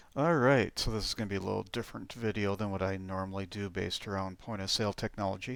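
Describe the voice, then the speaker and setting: A man's fairly low voice at a very fast pace with ordinary pitch variation, on a very clean recording with a silent background. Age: 50s. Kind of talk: casual talk to camera.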